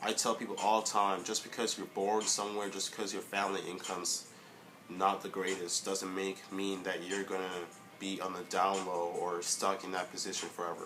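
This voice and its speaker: A man's fairly low voice at a moderate pace, monotone and flat, over music in the background. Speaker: vlogger. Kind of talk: casual vlog monologue. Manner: halting, stuttering a little; many filler words.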